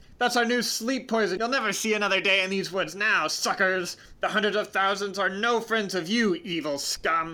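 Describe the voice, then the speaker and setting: A man in a put-on character voice, shouting with a raised, projected voice at a high pitch, moderate pace and hardly any pauses. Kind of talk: villainous, mocking. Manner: shouting, gloating.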